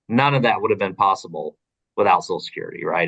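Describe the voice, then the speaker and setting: The speaker is a man. He talks in an Oklahoma accent. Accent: Oklahoma accent, noticeable. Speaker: advocacy organization policy director. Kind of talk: recorded interview. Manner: casual, many fillers and repetitions.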